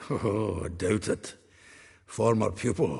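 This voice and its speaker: Putting on a raspy character voice with a Scottish accent, a man speaks fairly slowly at a fairly low pitch. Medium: video game. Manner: hearty, bawdy, chuckling.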